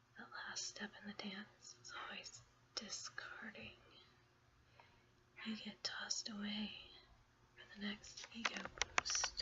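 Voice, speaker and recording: A woman whispering at a very slow pace, with long, frequent pauses, big swings in loudness and noticeable background noise. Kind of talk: ASMR blog reading. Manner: soft-spoken, whispered.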